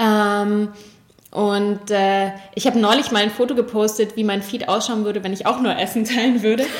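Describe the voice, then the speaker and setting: Against noticeable background noise, a woman speaks at a moderate pace and fairly high pitch with monotone, flat intonation. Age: 40s. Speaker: cook and cookbook author. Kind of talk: interview.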